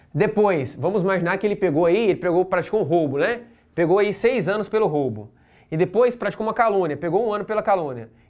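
Against a quiet background, a man talks at a very fast pace. His pitch is high. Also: ordinary pitch variation. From Brazil. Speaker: law exam-prep teacher. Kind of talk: lecture. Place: classroom.

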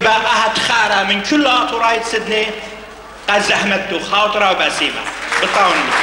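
A man speaks fairly slowly in a raised, projected voice with very even loudness and fairly even intonation. Crowd noise sits in the background, and the room echo is audible. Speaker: event host announcer. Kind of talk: stage announcement speech. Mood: celebratory formal. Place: hall. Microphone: pa.

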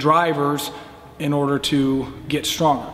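Over light background noise, a man talks in a monotone, flat intonation. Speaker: weightlifting coach. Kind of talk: interview answer. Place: gym.

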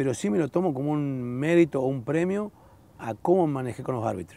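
Recorded with a dry sound and no echo, a man speaks in a dark, mellow tone. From Entre Ríos, Argentina. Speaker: former footballer; guest. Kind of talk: casual chat. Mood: relaxed, reminiscing. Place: garden. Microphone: lapel.

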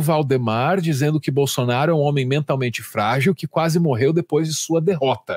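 A man with an ordinary speaking voice talks at a fairly high pitch with ordinary pitch variation, at a moderate pace, in a dry, close sound with no echo. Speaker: commentator host. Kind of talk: news commentary chat.

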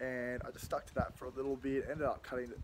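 A man speaks over noticeable background noise. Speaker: fitness vlogger. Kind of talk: casual vlog chat. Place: garden. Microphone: phone near.

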